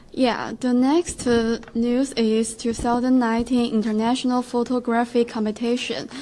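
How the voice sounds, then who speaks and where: A woman's high-pitched, monotone, flat delivery at a fairly slow pace, amid noticeable background noise. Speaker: student radio co-host. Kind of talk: casual chat.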